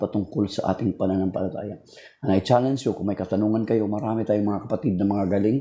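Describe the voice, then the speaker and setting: Racing at a very fast pace, a man speaks with a dark, mellow tone and a fairly low pitch. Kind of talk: religious talk livestream. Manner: casual, code-switching Tagalog-English.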